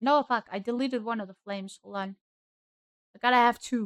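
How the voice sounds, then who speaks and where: Talking at a fairly quick pace with a German accent, a woman uses a fairly high pitch and fairly even intonation. The sound is dry and close with no echo. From Germany. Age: young. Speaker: streamer. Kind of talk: casual chat. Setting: livestream.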